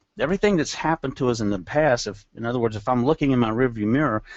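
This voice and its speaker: A man uses a normal speaking voice, medium in pitch, with lively intonation. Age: 60s. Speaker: network marketing presenter. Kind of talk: business webcast presentation. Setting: webcast.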